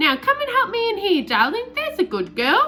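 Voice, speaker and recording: A squeaky, put-on character voice, extremely high and raised to project, with very wide pitch swings, a moderate pace and clear background noise. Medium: read story.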